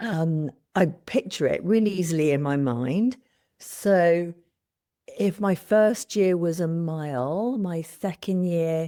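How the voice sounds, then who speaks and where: On a very clean recording with a silent background, a woman speaks at a very slow pace in a dark, mellow tone. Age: 60s. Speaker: coaching client. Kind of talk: coaching session. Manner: halting.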